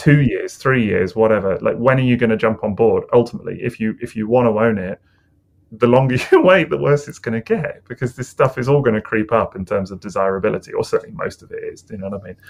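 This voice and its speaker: Very fast speech comes from a man with a British accent. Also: big swings in loudness. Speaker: toy collector podcast co-host. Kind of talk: casual chat. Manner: relaxed.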